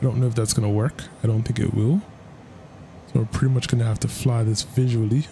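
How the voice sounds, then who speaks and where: Noticeable noise sits in the background. A man races along very fast, his intonation fairly even. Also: medium pitch for a man. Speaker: flight sim gaming youtuber. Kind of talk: gameplay commentary. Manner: casual, laid-back with frequent laughs.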